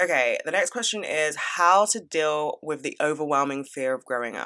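An animated woman with a British accent has a bright, sharp tone and a very deep, low pitch. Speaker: podcast host. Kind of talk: casual advice Q&A monologue.

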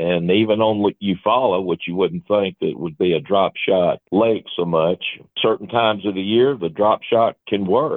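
A man with a normal speaking voice talks at a moderate pace, fairly low in pitch with ordinary pitch variation. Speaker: fishing guide. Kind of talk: casual interview.

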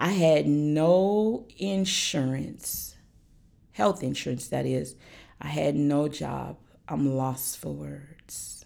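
A very slow-paced woman's voice amid audible room echo. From Alaska. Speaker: domestic abuse survivor sharing her story. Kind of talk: testimony.

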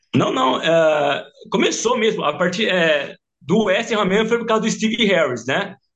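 Using a high pitch and lively intonation, a man speaks at a fairly slow pace. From interior of São Paulo state, Brazil. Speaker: football fan, shirt collector. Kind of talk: casual chat.

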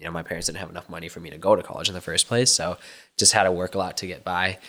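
On a very clean recording with a silent background, a man with an American accent speaks at a very deep, low pitch in a bright, sharp tone. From Minnesota, US. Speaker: content creator and social media executive. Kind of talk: casual interview chat.

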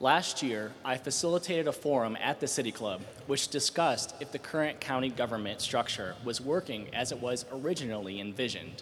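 A man has a normal speaking voice at a medium pitch. He barely pauses and uses ordinary pitch variation. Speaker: policy fellow, audience questioner. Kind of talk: question from audience. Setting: stage with audience.

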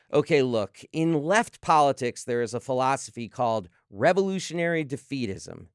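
On a very clean recording with a silent background and a dry, close sound with no echo, a man uses a normal speaking voice, fairly high in pitch, with lively intonation at a moderate pace. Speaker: sports podcast host. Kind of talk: interview and commentary.

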